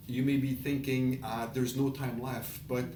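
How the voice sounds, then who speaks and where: A man's flat, monotone voice amid audible room echo and noticeable background noise. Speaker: online business presenter. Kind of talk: casual presentation.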